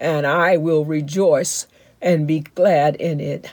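In a warm, dark, mellow tone, the speech comes at a very slow pace with fairly even intonation. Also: woman. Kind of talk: fervent prayer. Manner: fervent, declarative; warm, reassuring.

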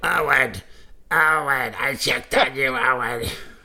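A put-on character voice pitched low to middle. It moves at a fairly slow pace.

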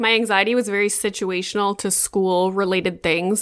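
This woman has a normal speaking voice with a Canadian accent, medium pitch and fairly even intonation. She talks at a moderate pace in a very clean recording with a silent background. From Northern Ontario, Canada (Sudbury). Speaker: mom content creator. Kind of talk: interview.

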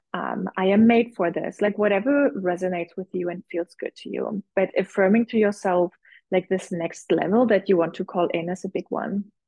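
A woman with an ordinary speaking voice, moderate pace, ordinary pitch variation and hardly any pauses. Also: medium pitch for a woman. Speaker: visibility coach and business mentor. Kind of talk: casual interview.

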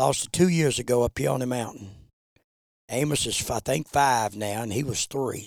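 A man speaks in an Appalachian accent. His pitch sits at medium. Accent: Appalachian Southern US. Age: 70s. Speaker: bear hunter and dog breeder. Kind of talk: casual chat.

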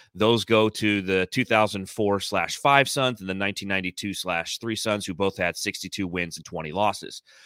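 Fairly low-pitched and bright, a man's voice has a sharp tone and fairly even intonation at a moderate pace. The sound is dry and close with no echo, on a very clean recording with a silent background. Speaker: podcast host and Suns analyst. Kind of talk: casual sports chat. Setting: audio-only podcast conversation.

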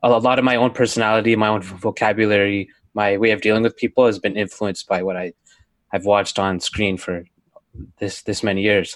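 A man talks at a fairly quick pace in a fairly low pitch, using an unremarkable speaking voice with fairly even intonation against a quiet background. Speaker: podcast producer. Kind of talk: casual chat.

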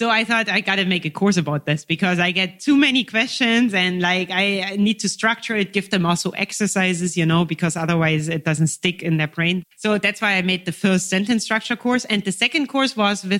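A woman's medium-pitched voice with a German accent, fairly quick, hardly pausing, lively in intonation and very even in loudness. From eastern Germany (Dresden). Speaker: language teacher and YouTuber. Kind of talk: interview conversation.

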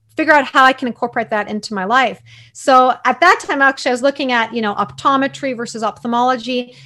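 A woman with a Canadian accent talks at a very fast pace in a high pitch, using a raised, projected voice with ordinary pitch variation. The recording is very clean, with a silent background. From Canada, Toronto. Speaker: eye doctor. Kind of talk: interview.

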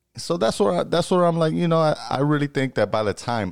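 A man with an American accent and a normal speaking voice, fairly high in pitch with lively intonation, in a very clean recording with a silent background. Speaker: podcast co-host. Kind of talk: casual chat.

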